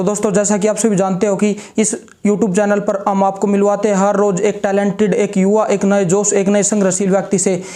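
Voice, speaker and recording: A man's high voice holds very even loudness and a monotone, flat intonation over noticeable background noise. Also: moderate pace. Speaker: interviewer, channel host. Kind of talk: channel intro to camera.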